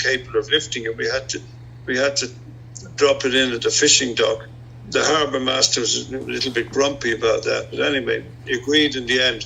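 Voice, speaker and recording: A man with an Irish accent, amid noticeable background noise. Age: 70s. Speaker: retired airline pilot, amateur boatbuilder. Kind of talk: interview. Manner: halting.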